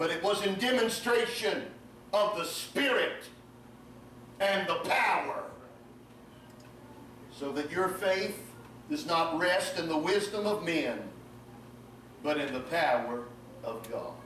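A man talks at a very slow pace with long, frequent pauses. Audible room echo and light background noise surround him. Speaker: preacher. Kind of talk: sermon. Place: church. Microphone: camera far.

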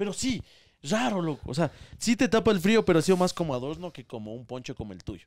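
A high-pitched man talks at a very fast pace, with very wide pitch swings and big swings in loudness. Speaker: content creator; podcast guest or host. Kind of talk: casual chat. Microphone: handheld.

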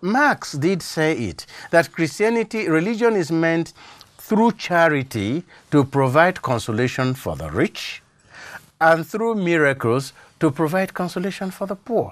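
At a fairly slow pace, a man speaks with lively intonation and a high pitch. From Nigeria. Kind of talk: studio interview on faith and culture. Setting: studio. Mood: calm, reflective, earnest. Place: studio. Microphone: lapel.

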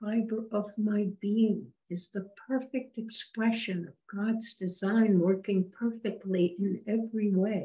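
A woman speaks very slowly at medium pitch with monotone, flat intonation. Her voice is somewhat breathy with a dark, mellow tone, over a quiet background. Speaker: spiritual medium channeling a spirit guide. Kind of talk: channeled spiritual guidance session. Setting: video call. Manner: formal. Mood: calm, slow, meditative. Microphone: video call.

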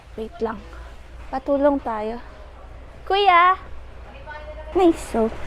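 A woman's high voice at a very slow pace, with long, frequent pauses, very wide pitch swings and noticeable background noise. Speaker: lifestyle vlogger. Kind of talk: casual vlog narration. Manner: animated.

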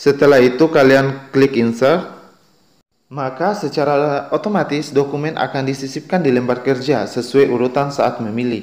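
A man speaks in an ordinary speaking voice, fairly high in pitch, at a moderate pace with ordinary pitch variation. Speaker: YouTube tutorial creator. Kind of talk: tutorial.

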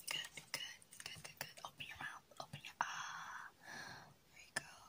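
In a soft-spoken whisper, a woman talks. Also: moderate pace. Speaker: whisper role-play host. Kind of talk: soft-spoken role-play addressing the viewer. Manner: soft ASMR whisper, coaxing. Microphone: phone near.

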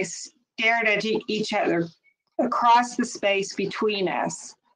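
Fairly high pitch from a woman at a very slow pace, with ordinary pitch variation and a quiet background. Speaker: author's daughter reading. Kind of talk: memoir reading aloud. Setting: webinar. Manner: measured, earnest narration. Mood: somber, dramatic storytelling. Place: home room. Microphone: video call.

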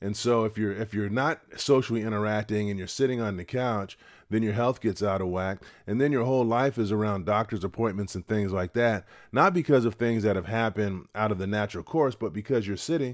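At a fairly quick pace, a plain, everyday voice moves with ordinary pitch variation over a quiet background. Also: man, fairly low pitch for a man. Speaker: retirement channel host. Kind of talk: casual advice talk to camera. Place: home room. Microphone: studio mic.

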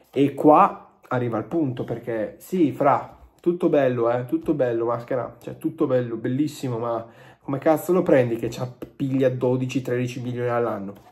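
A man speaks in a somewhat breathy voice with ordinary pitch variation. The background is quiet. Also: moderate pace. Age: 20s. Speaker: football YouTuber. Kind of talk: video commentary to camera. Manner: animated. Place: home room. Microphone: phone near.

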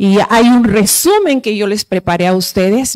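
Lively intonation from a woman at a fairly slow pace over a quiet background. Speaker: Bible society program coordinator, speaker; speaker. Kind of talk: conference talk. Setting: conference hall. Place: hall. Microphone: handheld.

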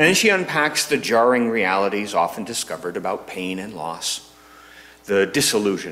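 Lively intonation runs through a man's speech. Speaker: minister. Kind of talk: sermon. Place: church. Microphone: podium.

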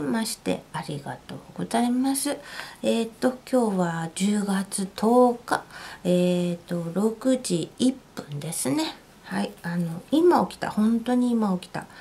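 At a fairly slow pace, a woman talks with very wide pitch swings. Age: 40s. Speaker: housewife. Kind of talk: casual talk to camera.

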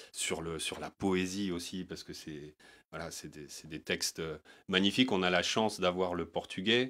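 His voice very deep and low, a man speaks at a fairly slow pace with fairly even intonation and a bright, sharp tone. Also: quiet background. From Paris, 18th arrondissement. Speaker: singer-songwriter; guest. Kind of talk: interview. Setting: studio. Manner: halting, many hesitations. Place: studio. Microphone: handheld.

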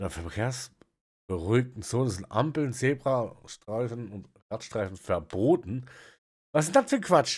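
A man talks at a fairly slow pace with lively intonation and big swings in loudness. The background is quiet. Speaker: reaction streamer. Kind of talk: commentary. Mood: amused, incredulous.

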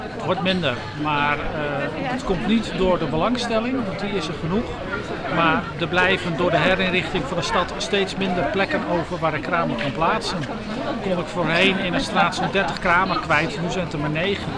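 A man's voice with ordinary pitch variation, dry with no echo, against crowd noise in the background. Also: moderate pace. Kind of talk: interview answer. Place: street.

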